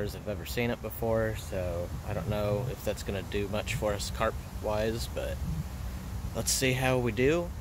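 A man with a fairly low pitch speaks at a moderate pace. The sound is dry with no echo, though background noise is noticeable. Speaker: fishing vlogger. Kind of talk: casual vlog chat. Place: waterside. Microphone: phone near.

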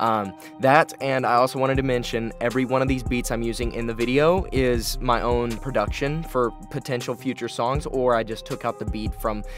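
Over clear background music, a man talks at a fairly quick pace in a dry sound with no echo. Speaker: vlogger. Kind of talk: casual vlog chat. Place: studio. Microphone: studio mic.

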